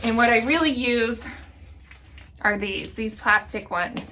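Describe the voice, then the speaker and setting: A woman speaks at a moderate pace in a high voice. Noticeable background noise runs behind her. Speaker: gardening channel host. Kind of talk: tutorial. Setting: greenhouse.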